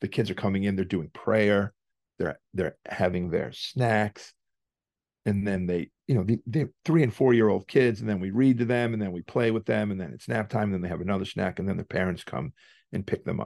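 A man with a Massachusetts accent speaks at a moderate pace, his pitch fairly low with ordinary variation. The sound is dry and close with no echo, over a quiet background. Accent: Massachusetts New England. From Worcester, Massachusetts. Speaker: hardcore band singer and poker player. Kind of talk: casual interview, storytelling.

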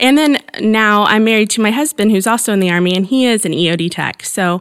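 A woman with an American accent has an ordinary speaking voice at a medium pitch with ordinary pitch variation. She talks at a fairly quick pace in a very clean recording with a silent background. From Southern Indiana, near Evansville. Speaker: nonprofit wellness coordinator. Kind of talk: interview.

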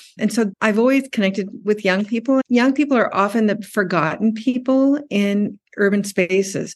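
A woman's unremarkable speaking voice with an American accent, fairly high in pitch with ordinary pitch variation, at a moderate pace, the sound dry and close with no echo against a quiet background. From US and Tokyo, Japan. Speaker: PhD student in urban studies, former publisher. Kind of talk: interview.

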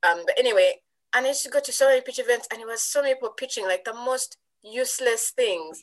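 A woman with a Ugandan accent speaks very fast in a high voice with ordinary pitch variation. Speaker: tech entrepreneur, network founder. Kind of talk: interview. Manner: hesitant with fillers.

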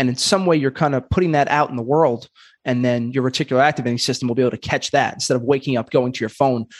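Against a quiet background, a man talks at a very fast pace in a New York accent. His intonation stays fairly even. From Brooklyn, New York. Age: 30s. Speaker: podcast host and comedian. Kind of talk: casual interview.

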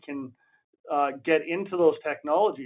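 A man with a Western Canadian accent speaks at a fairly high pitch. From Alberta, Canada. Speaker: municipal fleet manager, former oil worker. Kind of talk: interview. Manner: hesitant, many fillers.

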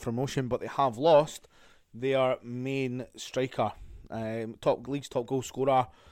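A man with a Scottish accent in a monotone, flat delivery on a very clean recording with a silent background. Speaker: football podcast host. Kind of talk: solo podcast review.

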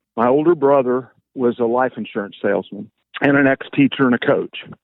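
A man talks at a fairly quick pace with a Midwestern US accent. His pitch is medium. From Kansas, small town. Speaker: financial advisor. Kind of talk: casual chat.

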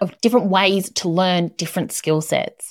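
At a fairly quick pace, a woman with a medium pitch talks in a plain, everyday voice. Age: 40s. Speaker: podcast host, property and construction professional. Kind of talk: solo advice talk.

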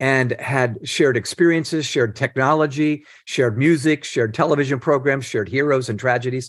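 This man has an ordinary speaking voice with a fairly high pitch. He talks at a moderate pace against a quiet background. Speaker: leadership author and nonprofit founder. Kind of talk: interview.

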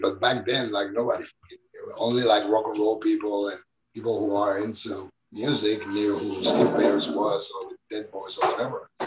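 The speaker is a man with a Spanish accent. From Spain, Barcelona. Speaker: documentary filmmaker. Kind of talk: interview. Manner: casual, many fillers.

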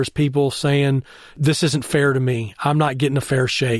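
Speaking at a fairly quick pace, a man with a Texan accent has a fairly high pitch. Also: very clean recording, silent background. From Texas (Temple). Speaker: baseball scout executive. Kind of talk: interview. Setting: in person, Austin, Texas.

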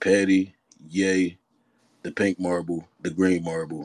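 In a dry, close sound with no echo, a man speaks at a fairly slow pace in a very deep, low, flat monotone. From Philadelphia, US. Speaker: rapper. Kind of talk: casual interview chat.

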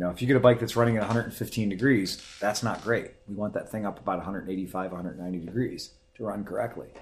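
An unremarkable speaking voice from a man with an American accent, fairly low in pitch, with fairly even intonation, a moderate pace and hardly any pauses. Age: 30s. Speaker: motorcycle podcast host. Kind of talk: casual chat. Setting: studio.

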